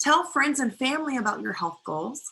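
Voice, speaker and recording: A woman's bright, sharp-toned voice. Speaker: guest speaker teaching personality types. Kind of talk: webinar lecture. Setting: online live webinar with chat.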